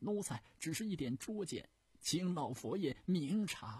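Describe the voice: A man puts on a character voice at a fairly slow pace and fairly high pitch, with big pitch swings, a slightly mellow tone and a husky, rough edge.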